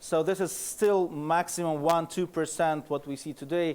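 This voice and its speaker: A man with a Russian accent talks at a moderate pace in a fairly high pitch, with ordinary pitch variation, on a very clean recording with a silent background. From Russia (Moscow). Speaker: security researcher, conference speaker. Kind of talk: conference presentation. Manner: halting, many fillers.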